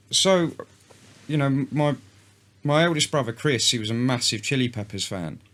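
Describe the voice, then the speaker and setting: This voice has a London accent and lively intonation. It moves at a moderate pace with long, frequent pauses. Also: man, medium pitch for a man. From North London, England. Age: 30s. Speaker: country musician. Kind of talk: casual chat.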